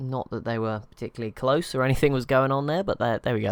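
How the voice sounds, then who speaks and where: The speaker has an English accent. The pace is very fast. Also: man. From England, near London. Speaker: gaming youtuber. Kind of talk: live gameplay commentary. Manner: casual, halting.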